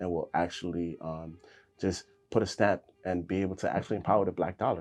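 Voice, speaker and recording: A man's very deep, low voice in a New York accent, with fairly even intonation and music in the background. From New York City (South Bronx), born in Honduras. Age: 30s. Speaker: fashion designer. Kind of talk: interview. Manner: casual with fillers.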